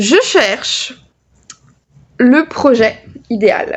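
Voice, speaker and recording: A loud woman's voice at a high pitch. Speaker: knitting youtuber. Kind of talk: casual chat. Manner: hesitant, many fillers.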